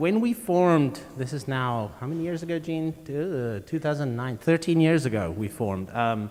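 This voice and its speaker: A man with a South African accent at a moderate pace, fairly high pitched, with very wide pitch swings and hardly any pauses. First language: Afrikaans. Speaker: string quartet musician. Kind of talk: onstage interview. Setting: concert hall with audience.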